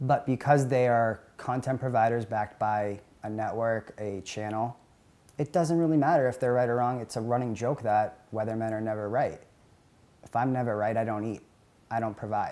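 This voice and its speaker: Speaking with an American accent, a man uses a medium pitch and fairly even intonation in a dark, mellow tone. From New England (near Boston). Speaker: professional sports bettor. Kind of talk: documentary interview. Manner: fast.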